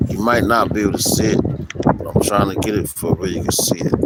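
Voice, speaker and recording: A man's voice over noticeable background noise. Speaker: street preacher. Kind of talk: religious teaching. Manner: halting.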